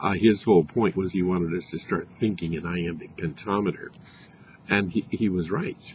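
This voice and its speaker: A man with an American accent speaks at a moderate pace in a very deep, low voice. His intonation is fairly even and his sound somewhat breathy. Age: 70s. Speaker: poet. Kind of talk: casual talk to camera. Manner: halting, many fillers.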